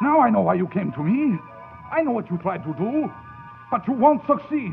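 With faint music in the background, a man puts on a character voice at a high pitch, swinging his pitch widely at a moderate pace, with vocal fry.

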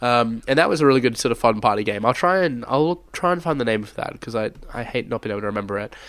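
An Australian man talks very fast, with hardly any pauses. His pitch is medium and his intonation lively. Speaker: podcast host. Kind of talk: casual chat.

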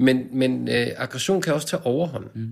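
A man speaks at a fairly slow pace, with vocal fry. His intonation is lively. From Denmark, Copenhagen suburbs. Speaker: poet and translator. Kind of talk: casual interview.

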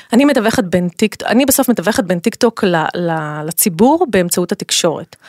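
Medium-pitched woman with an unremarkable speaking voice, lively intonation and a moderate pace, in a dry, close sound with no echo. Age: 40s. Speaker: tech company communications executive. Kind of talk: interview. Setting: studio.

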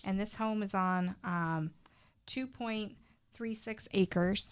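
Very clean, silent-background audio of a woman with a medium-pitched voice. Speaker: real estate agent. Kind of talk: casual chat.

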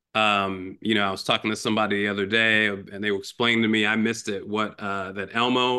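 This man has an American accent and a medium pitch. He talks at a fairly quick pace. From Chicago. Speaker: foundation executive. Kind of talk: interview. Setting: video call. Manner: halting, many fillers.

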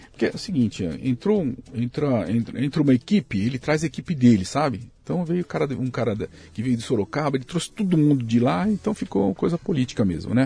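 A dark, mellow tone, somewhat breathy, moves at a fairly quick pace. Its pitch swings very widely. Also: man. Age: 60s. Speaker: pasta factory owner. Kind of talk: casual interview chat.

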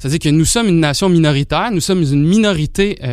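A man speaks at a high pitch. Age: young. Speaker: sociology doctoral student. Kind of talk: panel discussion. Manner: hesitant, many fillers.

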